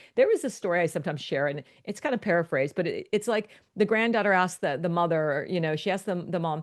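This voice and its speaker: Against a quiet background, a woman with an American accent talks very fast at medium pitch, her intonation lively. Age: 60s. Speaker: life and business coach. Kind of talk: podcast interview. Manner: animated.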